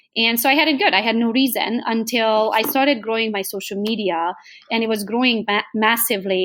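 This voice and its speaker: A woman with a Hungarian accent at a fairly quick pace. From Transylvania, Romania (Hungarian). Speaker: real estate agent. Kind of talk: podcast interview.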